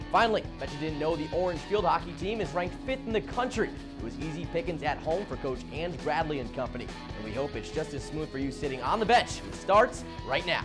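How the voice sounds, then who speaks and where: With music in the background, a man talks at a fairly quick pace in an energetic, upbeat tone. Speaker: college sports news anchor. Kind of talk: broadcast sports anchor delivery. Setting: studio. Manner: energetic, fast, upbeat.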